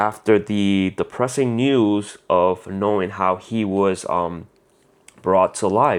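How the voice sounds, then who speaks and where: A man speaks very slowly with a Spanish accent, his voice fairly low and his pitch varying in an ordinary way. The recording is very clean, with a silent background. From Puerto Rico. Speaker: comic book YouTuber. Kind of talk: casual review monologue. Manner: halting, many fillers.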